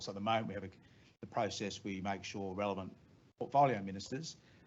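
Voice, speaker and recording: The voice belongs to a man with an Australian accent. He speaks at a fairly low pitch. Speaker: head of a government agency. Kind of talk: staff briefing. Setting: meeting room with online audience. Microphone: too far from the mic.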